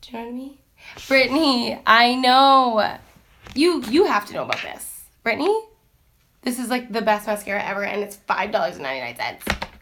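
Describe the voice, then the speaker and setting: Speaking at a fairly quick pace, a woman with a high pitch and a bright, sharp tone uses ordinary pitch variation and big swings in loudness. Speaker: teacher and lifestyle vlogger. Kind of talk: casual chat. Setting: Instagram live stream. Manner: loud and outgoing; chatty, many fillers.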